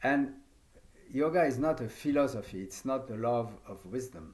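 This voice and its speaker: With a French accent, a man talks at a fairly slow pace, and the room echo is audible. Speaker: yoga teacher. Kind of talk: lecture. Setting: video conference.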